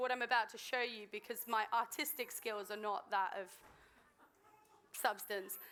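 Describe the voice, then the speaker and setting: A woman with an English accent, fairly high-pitched, bright and sharp in tone, at a fairly quick pace. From southern England, Swindon. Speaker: guest speaker. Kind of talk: sermon. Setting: church stage with audience. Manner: hesitant, many ums.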